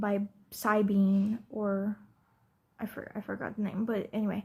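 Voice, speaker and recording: A woman speaks at a very slow pace with a fairly high pitch. Her voice is somewhat breathy, with a dark, mellow tone. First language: non-English. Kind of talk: casual talk to camera. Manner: hesitant, rambling.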